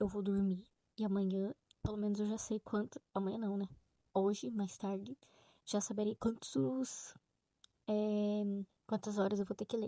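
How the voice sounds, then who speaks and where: Whispering at a fairly slow pace, a woman is heard in a dry, close recording with no echo. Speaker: book vlogger. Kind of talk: casual vlog. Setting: home, late at night.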